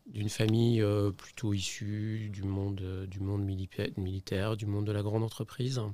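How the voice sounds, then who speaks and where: A man with a fairly low pitch and a dark, mellow tone speaks at a moderate pace in a monotone, flat intonation, with hardly any pauses. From France, Saint-Étienne (Auvergne-Rhône-Alpes). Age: 60s. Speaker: company CEO, investor. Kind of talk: podcast interview. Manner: hesitant, many fillers and repetitions.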